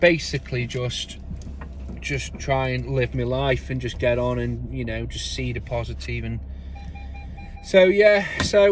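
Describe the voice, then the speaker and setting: A man at a fairly slow pace, with noticeable background noise behind him. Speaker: gardener and small business owner. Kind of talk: casual vlog monologue. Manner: loud.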